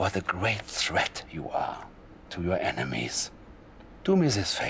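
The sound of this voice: A man does a put-on character voice, low-pitched with vocal fry and a fairly bright tone. His pitch swings very widely at a fairly slow pace.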